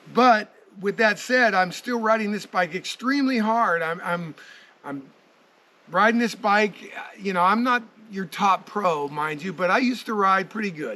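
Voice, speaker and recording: Using a raised, projected voice, a man speaks at a high pitch and a moderate pace, with ordinary pitch variation and long, frequent pauses. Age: 60s. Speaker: motorcycle reviewer and rider. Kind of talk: casual video review.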